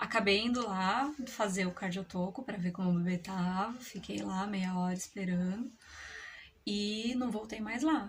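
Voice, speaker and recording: Here a woman speaks in a plain, everyday voice at medium pitch with ordinary pitch variation. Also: fairly slow pace. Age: 30s. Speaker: mother. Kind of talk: personal story told to camera. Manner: casual, conversational.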